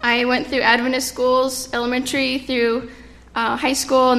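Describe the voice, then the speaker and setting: Audible room echo follows a woman as she speaks at a moderate pace and high pitch. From California. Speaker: children's ministry leader and occupational therapist. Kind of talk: sermon. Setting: church. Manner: halting.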